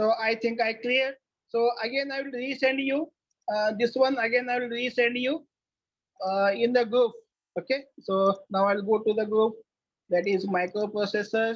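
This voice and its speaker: Moderate pacing broken by long, frequent pauses. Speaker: college lecturer. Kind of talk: online lecture. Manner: halting.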